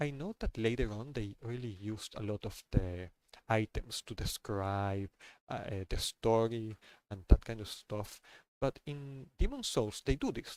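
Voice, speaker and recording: A man with a non-native accent speaks at a fairly slow pace, his loudness swinging widely, on a very clean recording with a silent background. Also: medium pitch for a man, ordinary pitch variation, dry, close sound with no echo. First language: not English. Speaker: gaming streamer. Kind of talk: casual monologue. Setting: live stream. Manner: halting, many fillers and repeats.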